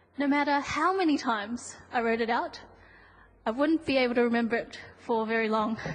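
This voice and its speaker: Fairly quick speech at very even loudness, with ordinary pitch variation and audible room echo. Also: woman, high pitch for a woman. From New Zealand. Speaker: conference presenter. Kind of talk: scripted presentation. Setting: conference hall, seated with audience.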